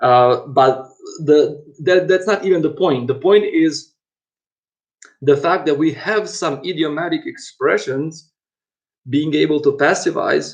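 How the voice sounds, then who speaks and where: A man with a non-native accent talks at a fairly slow pace, leaving long, frequent pauses. His pitch is fairly high, with ordinary variation. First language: not English. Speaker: university lecturer. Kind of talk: lecture. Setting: online lecture. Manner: halting, many fillers and repetitions.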